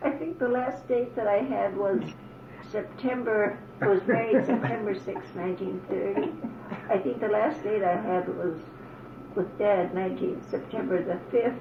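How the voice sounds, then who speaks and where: With an American accent, a woman of medium pitch speaks at a moderate pace with lively intonation, over audible room echo and noticeable background noise. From Upper Peninsula of Michigan, US. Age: 80s+. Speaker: elderly mother interviewed by her son. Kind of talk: oral history interview.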